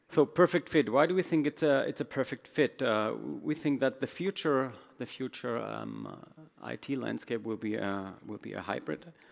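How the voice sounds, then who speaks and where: A man speaks in a German accent. His loudness swings widely. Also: moderate pace. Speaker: IT executive. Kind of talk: conference talk. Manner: halting.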